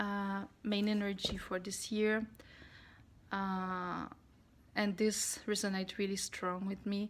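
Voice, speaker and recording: The speech moves at a fairly slow pace in a monotone, flat intonation. The recording is very clean, with a silent background. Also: woman. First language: not English. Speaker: spiritual vlogger (tarot). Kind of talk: casual vlog monologue. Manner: halting, with many fillers.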